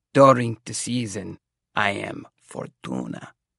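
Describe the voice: A man's put-on character voice in an Eastern European accent, fairly low in pitch with big pitch swings, a fairly bright tone and vocal fry, at a slow pace on a very clean recording with a silent background. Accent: put-on Eastern European, Lugosi-like.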